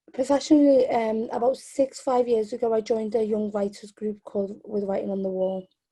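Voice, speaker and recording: In a Liverpool accent, a woman speaks at a fairly high pitch with a dark, mellow tone, somewhat breathy. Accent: Scouse. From Liverpool, England (born in Yemen). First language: Arabic. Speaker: spoken word poet and activist. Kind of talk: interview. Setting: video call.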